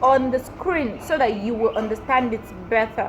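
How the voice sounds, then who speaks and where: There is noticeable background noise. Through it, a woman speaks with a central Nigerian accent. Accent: Nigerian English (Tiv). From Nigeria, Benue State (Tiv). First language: Tiv. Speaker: YouTuber, language teacher. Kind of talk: tutorial.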